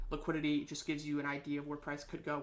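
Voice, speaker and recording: Amid audible room echo, a man with a fairly high pitch talks at a very fast pace. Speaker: trading instructor. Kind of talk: lecture.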